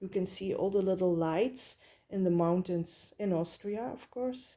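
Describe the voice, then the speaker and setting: With a Flemish accent, a woman talks at a moderate pace. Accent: Flemish Dutch accent in English. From Belgium. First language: Dutch. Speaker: tarot reader. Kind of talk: tarot reading. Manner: halting, many filler sounds.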